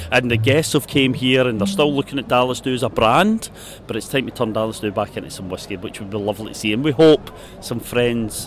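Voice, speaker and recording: Against noticeable background noise, a man talks fairly quickly at a medium pitch with ordinary pitch variation. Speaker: festival chairman. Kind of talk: casual interview.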